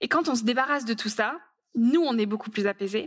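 A woman talks in a normal speaking voice at a fairly high pitch. Her pace is moderate. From rural France. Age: 20s. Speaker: author and speaker. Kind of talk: conference talk.

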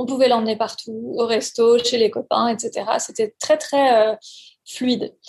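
Very slowly, a woman speaks in a monotone with flat intonation and a fairly high pitch. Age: 40s. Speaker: parent giving testimony. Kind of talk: testimony. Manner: halting.

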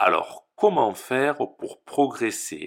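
On a very clean recording with a silent background, a man speaks very slowly at a fairly high pitch, with vocal fry. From southern France. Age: 30s. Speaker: French teacher. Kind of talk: podcast introduction for language learners. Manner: slow, clear.

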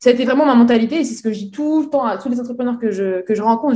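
This voice rushes along very fast, its tone dark and mellow, with pitch that varies in an ordinary way. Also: woman. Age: 20s. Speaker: entrepreneur. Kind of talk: interview. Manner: halting.

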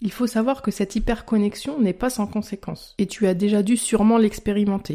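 Speaking at a fairly quick pace with hardly any pauses, a woman with a French accent has a fairly high pitch, a dark, mellow tone and fairly even intonation on a very clean recording with a silent background. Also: very even loudness. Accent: self-described poor English pronunciation. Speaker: health podcaster and blogger. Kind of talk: scripted podcast monologue.

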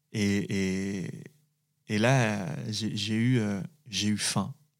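The speaker is a man with a fairly low pitch. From France, Saint-Étienne area. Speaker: actor. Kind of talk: interview testimony. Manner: halting.

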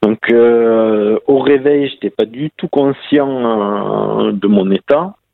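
In a southern French accent, the speaker goes at a very slow pace with hardly any pauses and ordinary pitch variation. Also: man, medium pitch for a man. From southern France. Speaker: para-cyclist and police officer. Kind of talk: interview. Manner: halting.

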